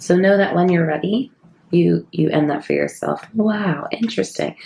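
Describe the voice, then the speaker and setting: Soft-spoken, a woman talks at a moderate pace with a fairly low pitch and vocal fry. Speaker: psychic medium and tarot reader. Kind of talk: tarot reading. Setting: at home.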